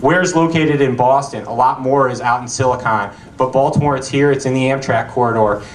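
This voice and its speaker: A man at a very fast pace and medium pitch, fairly even intonation, with audible room echo and noticeable background noise. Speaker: company founder and presenter. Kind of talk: conference talk.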